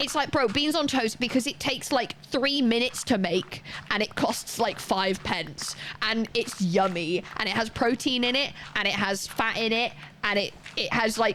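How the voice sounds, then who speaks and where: Fairly high in pitch, a woman speaks at a moderate pace with an animated tone, lively intonation and very even loudness. Background noise is noticeable. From Wales. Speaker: streamer. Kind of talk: casual chat. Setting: live stream.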